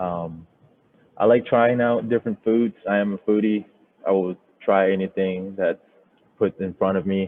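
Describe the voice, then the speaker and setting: With long, frequent pauses, a man's speech keeps a moderate pace. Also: fairly even intonation. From Thailand, moved to US at 13. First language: Thai. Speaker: software developer, bootcamp graduate, Marine veteran. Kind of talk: project presentation. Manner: halting, many fillers.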